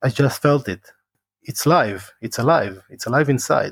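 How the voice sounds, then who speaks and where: With an Israeli accent, a man talks at a moderate pace in a dry, close sound with no echo. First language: Hebrew. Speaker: former special forces soldier and martial arts teacher. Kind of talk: interview.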